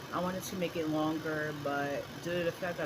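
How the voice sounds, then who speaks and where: A woman with a very deep, low pitch talks in a room with audible echo and noticeable background noise. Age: 30s. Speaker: vlogger sharing birth story. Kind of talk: casual vlog monologue. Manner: halting, stuttering.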